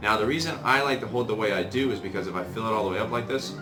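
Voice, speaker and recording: Clear music plays in the background. Over it, a man talks at a very fast pace with ordinary pitch variation. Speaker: tea brewing enthusiast. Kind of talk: casual tutorial talk to camera; tutorial. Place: home room. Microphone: camera far.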